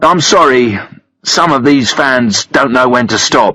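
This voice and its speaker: A raspy, put-on character voice from a man, medium in pitch, fairly slow, with very even loudness. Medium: read story. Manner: smooth, self-assured.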